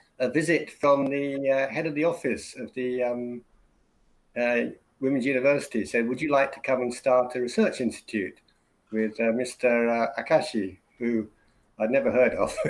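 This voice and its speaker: An English-accented man speaks at a medium pitch. His intonation stays fairly even. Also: moderate pace. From England (Birmingham, Oxford). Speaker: university English teacher. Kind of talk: casual interview. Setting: live stream video call. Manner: hesitant, many fillers.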